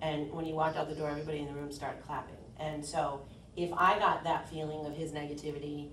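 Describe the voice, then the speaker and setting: A woman speaks at a very fast pace in a very deep, low voice. Room echo is audible, along with noticeable background noise. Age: 40s. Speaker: insurance agent. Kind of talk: workshop presentation. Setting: meeting room, round table.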